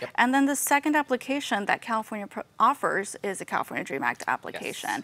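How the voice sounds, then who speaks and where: A woman's high voice with an American accent, very fast pace and lively intonation. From US, Southeast Los Angeles; Los Angeles. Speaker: financial aid outreach staff and podcast co-host; podcast co-host. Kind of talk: casual informational chat. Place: studio.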